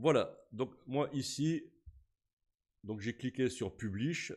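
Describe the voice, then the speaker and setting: A man talks at a very slow pace with lively intonation. The recording is very clean, with a silent background. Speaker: YouTube tutorial creator. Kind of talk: tutorial. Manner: casual, hesitant with fillers.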